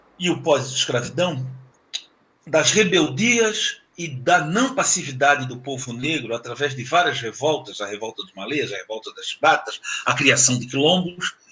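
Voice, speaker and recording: Using very wide pitch swings, a man talks at a fairly high pitch. His pace is fairly slow. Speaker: professor. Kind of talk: lecture.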